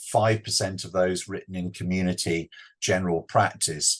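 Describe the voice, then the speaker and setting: Against a quiet background, a man talks in a British accent. His voice is somewhat breathy. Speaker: clinical pharmacology professor. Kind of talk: webinar lecture. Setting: online webinar.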